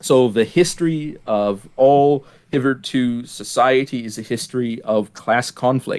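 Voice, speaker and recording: A man at medium pitch, fairly slow and with hardly any pauses, his pitch varying in an ordinary way. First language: German. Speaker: podcast host. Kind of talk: casual discussion. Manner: hesitant, many fillers and repeats.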